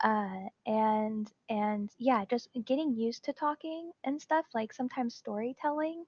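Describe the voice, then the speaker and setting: Soft-spoken whispering at a fairly slow pace. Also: woman. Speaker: Twitch streamer. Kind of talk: interview. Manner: quiet, almost whispering.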